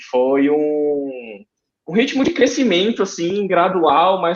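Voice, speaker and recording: With a Ceará accent, a man speaks at a high pitch with lively intonation. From Brazil, Ceará (Fortaleza). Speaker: aeronautical engineer, guest. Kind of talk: interview, personal story. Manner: hesitant, with fillers.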